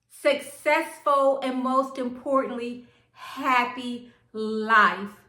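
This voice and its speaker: Raising and projecting her voice, a woman speaks at a high pitch with a bright, sharp tone, and the room echo is audible. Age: 60s. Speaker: lifestyle vlogger. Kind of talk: casual vlog talk to camera.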